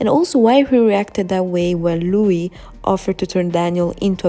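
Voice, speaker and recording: With a non-native accent, a woman speaks at a moderate pace in a fairly low pitch with ordinary pitch variation. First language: not English. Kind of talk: fan theory video narration. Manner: casual, hesitant.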